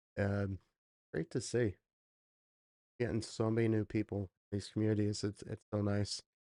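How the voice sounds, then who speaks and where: A soft-spoken man talks at a moderate pace with fairly even intonation, a dark, mellow tone and a fairly low pitch, leaving long, frequent pauses in a dry, close sound with no echo. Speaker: livestream reaction host. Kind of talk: casual livestream chat. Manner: quiet, soft-spoken.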